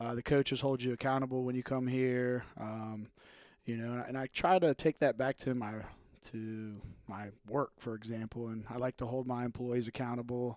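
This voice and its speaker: It is a plain, everyday voice at a moderate pace with fairly even intonation. The recording is very clean and dry, with a close sound, a silent background and no echo. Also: man, medium pitch for a man. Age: 30s. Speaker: gym member. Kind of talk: casual chat.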